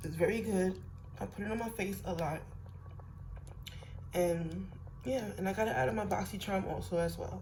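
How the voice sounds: A woman speaks at a moderate pace and medium pitch, with ordinary pitch variation and long, frequent pauses. Audible room echo surrounds her voice.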